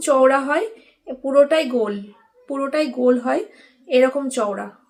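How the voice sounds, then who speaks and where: A woman talks in a high-pitched voice. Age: 30s. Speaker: lifestyle vlogger. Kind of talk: casual vlog talk to camera.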